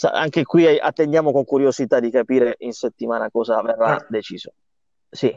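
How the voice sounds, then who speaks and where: Recorded dry and close with no echo, an ordinary speaking voice moves at a fairly quick pace with ordinary pitch variation. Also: man, medium pitch for a man. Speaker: podcast host, motorsport journalist. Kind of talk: casual chat.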